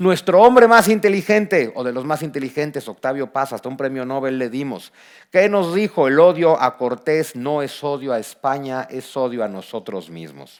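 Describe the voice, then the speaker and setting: In a very clean recording with a silent background, a man with a fairly high pitch speaks in an animated tone at a moderate pace, with lively intonation, big swings in loudness and hardly any pauses. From Mexico. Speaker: historian and author. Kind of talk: book presentation talk. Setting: auditorium with audience.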